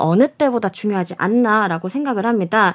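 In a very clean recording with a silent background and a dry, close sound with no echo, a woman talks at a fairly quick pace with very wide pitch swings. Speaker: sports journalist. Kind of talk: panel discussion on baseball.

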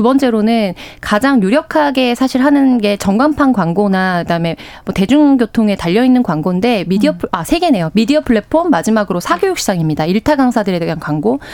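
A woman with a fairly high voice talks at a fairly quick pace, her pitch swinging very widely. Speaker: news panelist. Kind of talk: radio news discussion. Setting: radio studio.

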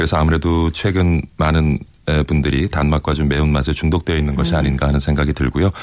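A man's very deep, low voice at a very fast pace, monotone and flat, with very even loudness and noticeable background noise. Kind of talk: data analysis explanation.

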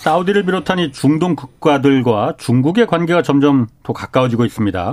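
A man speaks at a fairly quick pace. His fairly high pitch swings very widely. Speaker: radio host and reporter. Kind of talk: interview; news commentary. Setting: studio.

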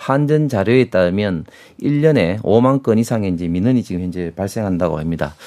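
A man's fairly low, dark, mellow voice sweeps through very wide pitch swings on a very clean recording with a silent background. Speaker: politician. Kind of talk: heated debate. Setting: studio. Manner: halting, many filler sounds.

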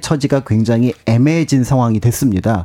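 A dark, mellow tone at a fairly quick pace, dry and close with no echo. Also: man. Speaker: history researcher. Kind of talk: radio interview, history explainer. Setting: radio studio.

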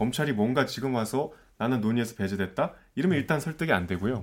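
A man's voice with very wide pitch swings. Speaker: news reporter. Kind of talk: casual panel discussion.

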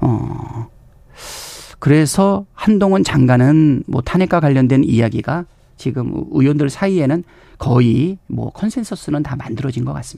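This man's voice sits fairly high, with a dark, mellow tone. He talks fairly slowly with lively intonation. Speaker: politician. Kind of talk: radio interview.

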